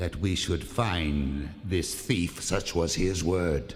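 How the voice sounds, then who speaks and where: A man puts on a character voice, very deep and low in pitch. He speaks at a fairly slow pace. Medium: audio drama.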